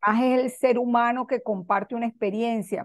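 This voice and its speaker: Recorded with a dry, close sound and no echo, a woman with a fairly high pitch has a normal speaking voice and ordinary pitch variation. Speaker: radio show host. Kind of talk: casual conversation.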